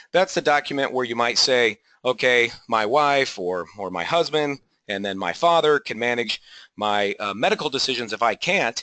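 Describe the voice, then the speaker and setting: A bright, sharp tone with an American accent and lively intonation, dry and close with no echo, over a quiet background. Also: man, medium pitch for a man. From California, San Jose area. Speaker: estate planning attorney. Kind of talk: webinar presentation. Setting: online webinar. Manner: fast; casual with frequent fillers.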